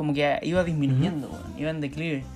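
Music plays in the background as a man speaks in a Chilean accent. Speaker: podcast co-host. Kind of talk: casual chat.

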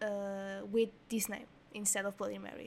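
A woman speaks with a Portuguese accent at a medium pitch. Her pace is fairly slow and her intonation monotone and flat. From Portugal. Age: 20s. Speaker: podcast host. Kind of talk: storytelling monologue. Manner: hesitant.

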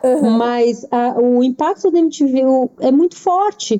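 A woman's voice with lively intonation. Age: 40s. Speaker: writer and editor. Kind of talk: casual chat.

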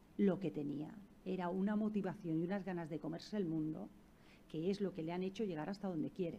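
A woman's dark, mellow tone, fairly low in pitch, with ordinary pitch variation and a fairly quick pace. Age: 40s. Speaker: neuroscientist. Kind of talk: talk to school students.

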